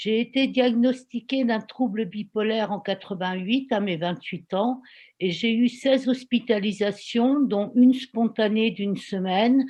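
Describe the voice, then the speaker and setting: A woman speaks at a fairly slow pace in a somewhat breathy voice with ordinary pitch variation over a quiet background. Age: 60s. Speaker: volunteer giving testimony. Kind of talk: testimony.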